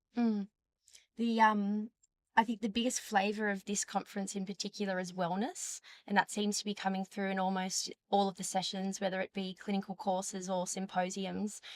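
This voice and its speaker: With an Australian accent, a woman speaks at a moderate pace in a monotone, flat intonation. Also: medium pitch for a woman, dry, close sound with no echo. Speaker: dietitian. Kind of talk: interview. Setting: conference.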